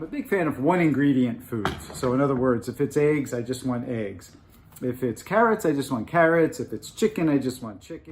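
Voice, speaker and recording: A man talks at a fairly quick pace and medium pitch with lively intonation over noticeable background noise. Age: 60s. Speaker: fitness enthusiast. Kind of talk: casual chat.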